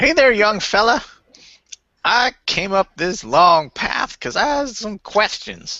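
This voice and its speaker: Putting on a character voice, a man talks at a high pitch with lively intonation and a fairly slow pace. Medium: actual play. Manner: folksy, plainspoken.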